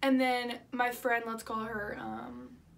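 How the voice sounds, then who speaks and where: The woman's pitch sits fairly high. Behind her there is noticeable background noise. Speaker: vlogger. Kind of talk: storytime vlog. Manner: fast; animated.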